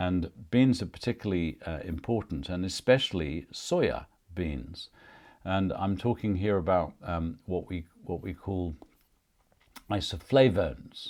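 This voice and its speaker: Fairly slow pace and ordinary pitch variation, in a very clean recording with a silent background. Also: man, very deep, low pitch for a man. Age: 60s. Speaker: nutrition podcast host. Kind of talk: solo podcast monologue. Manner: casual with fillers and hesitations.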